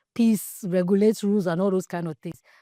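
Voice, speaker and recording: Recorded dry and close with no echo and a silent background, a woman speaks at a medium pitch in a dark, mellow tone. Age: 40s. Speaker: podcast host. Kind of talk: podcast monologue. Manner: raw, unfiltered.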